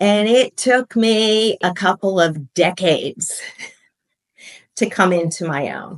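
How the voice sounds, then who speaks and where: A woman at medium pitch, very slow pace and long, frequent pauses, in a dry, close sound with no echo. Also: ordinary pitch variation. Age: 60s. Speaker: podcast guest, former professor and artist. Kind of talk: interview.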